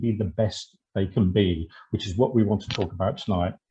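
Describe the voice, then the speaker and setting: The voice belongs to a man and sounds somewhat breathy. He talks in a British accent. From Britain. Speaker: actor and webinar host. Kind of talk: webinar presentation.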